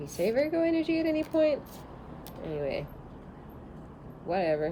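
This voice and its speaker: Noticeable background noise runs under a woman speaking at a fairly quick pace. Her loudness swings a lot. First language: not English. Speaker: tarot reader. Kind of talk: tarot reading. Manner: animated.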